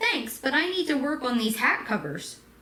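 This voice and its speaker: Using a put-on character voice, a woman speaks at a moderate pace in a high pitch with lively intonation. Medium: read story.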